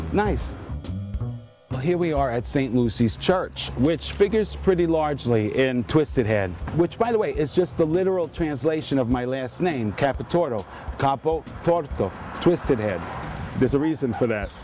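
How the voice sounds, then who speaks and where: Against noticeable background noise, a man with a New York accent speaks at a moderate pace and medium pitch, making very wide pitch swings. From New York, the Bronx. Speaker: author. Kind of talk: casual walking tour narration. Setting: outdoors. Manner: animated.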